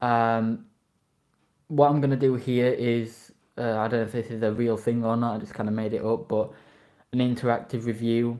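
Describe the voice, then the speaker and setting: With a dark, mellow tone, a man speaks at medium pitch and a moderate pace in a monotone, flat intonation, taking long, frequent pauses. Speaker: toy reviewer live streamer. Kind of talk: live stream review. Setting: live stream.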